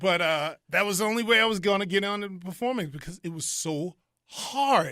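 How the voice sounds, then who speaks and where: The voice is raised and projected, with an animated tone, ordinary pitch variation and a moderate pace. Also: man, high pitch for a man. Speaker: circus ringmaster. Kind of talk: interview answer. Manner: animated, conversational.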